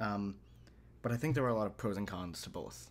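A man speaks at a moderate pace in an unremarkable speaking voice, with fairly low pitch and ordinary pitch variation. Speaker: podcast co-host and language learner. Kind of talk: casual chat.

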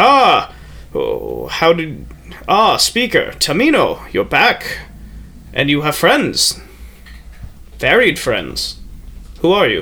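In a put-on character voice, a man talks at a very slow pace with long, frequent pauses over light background noise. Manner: startled then welcoming.

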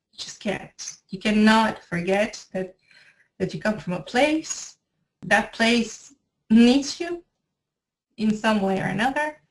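A woman's very slow, somewhat breathy speech in a Spanish accent, fairly high in pitch, with lively intonation, big swings in loudness, and long, frequent pauses. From Venezuela, Maracay. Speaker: editor and language teacher. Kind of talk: interview.

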